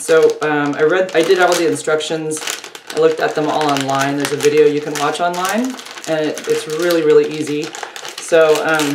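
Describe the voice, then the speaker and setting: Very deep, low pitch from a woman at a moderate pace, fairly even intonation, with noticeable background noise. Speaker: vlogger. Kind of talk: casual vlog chat. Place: home room. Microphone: phone near.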